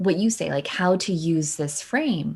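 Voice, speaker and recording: Over a silent background on a very clean recording, a woman with a somewhat breathy, medium-pitched voice speaks with lively intonation. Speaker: keynote speaker and live streamer. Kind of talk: interview. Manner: fast; animated.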